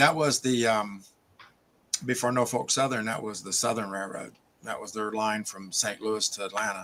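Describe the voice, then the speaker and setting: A man's bright, sharp voice at medium pitch, with fairly even intonation and a moderate pace. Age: 60s. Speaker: hobby shop owner. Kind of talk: casual chat.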